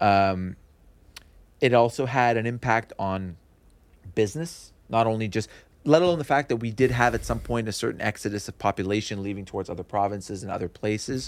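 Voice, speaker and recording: Moving along fairly quickly, the man's medium-pitched voice shows ordinary pitch variation. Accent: Montreal. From Montreal West Island, Quebec. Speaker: real estate broker. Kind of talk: interview.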